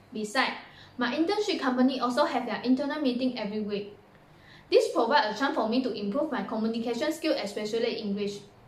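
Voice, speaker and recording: A woman's high voice at a very fast pace, with ordinary pitch variation, audible room echo and noticeable background noise. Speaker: university student. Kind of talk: recorded presentation.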